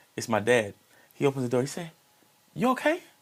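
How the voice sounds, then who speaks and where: The speaker sounds animated, moving at a fairly quick pace with very wide pitch swings. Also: man. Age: 40s. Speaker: singer and martial artist. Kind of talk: casual chat.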